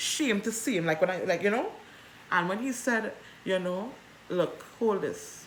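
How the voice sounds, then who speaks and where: A woman speaks at a fairly slow pace with an animated tone, medium pitch and ordinary pitch variation, leaving long, frequent pauses in a room with audible echo. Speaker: vlogger. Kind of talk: personal storytelling. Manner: loud.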